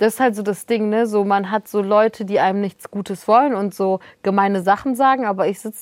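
On a very clean recording with a silent background, a woman speaks at medium pitch with fairly even intonation in an unremarkable speaking voice. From northern Germany. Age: 20s. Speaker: journalist and author. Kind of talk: casual chat.

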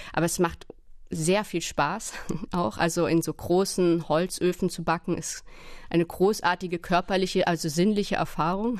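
At a moderate pace, a woman with fairly low pitch uses an ordinary speaking voice and fairly even intonation. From Berlin. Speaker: novelist and literary translator. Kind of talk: casual interview talk.

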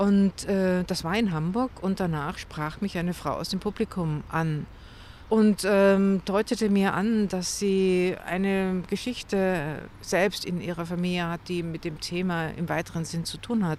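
A woman's ordinary speaking voice, medium in pitch, fairly slow and fairly even in intonation. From Munich, Bavaria. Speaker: novelist. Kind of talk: interview conversation. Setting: outdoors by a lake at a grave.

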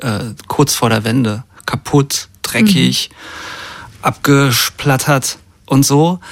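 The voice belongs to a man. It sits at a middling pitch. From East Germany, Brandenburg near Berlin. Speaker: musician and record producer. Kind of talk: radio interview. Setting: studio. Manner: halting, many fillers.

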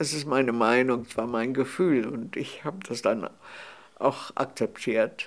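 Speaking at a very slow pace, a man at medium pitch uses lively intonation. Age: 80s+. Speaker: cookbook author. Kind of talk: interview conversation. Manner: halting, with hesitations.

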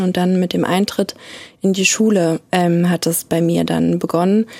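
Medium-pitched female voice with noticeable background noise. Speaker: person who stutters. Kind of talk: interview testimony.

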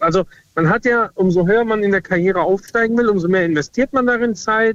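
Talking at a fairly quick pace, a man uses a high pitch with ordinary pitch variation, in a dry, close sound with no echo. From Südhessen (Lorsch). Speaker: caller. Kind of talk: phone-in chat.

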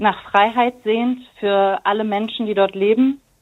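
A woman talks very slowly at a fairly high pitch, her intonation fairly even. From Germany. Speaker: teacher. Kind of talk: casual chat.

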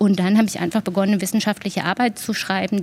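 Somewhat breathy and flat in intonation, a woman at medium pitch talks at a very fast pace. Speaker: grief counsellor. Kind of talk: interview.

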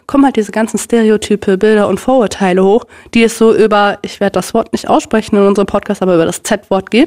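A woman's fairly high voice at a very fast pace. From Germany, North Rhine-Westphalia (Minden). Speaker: Sinti activist and university student. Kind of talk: interview.

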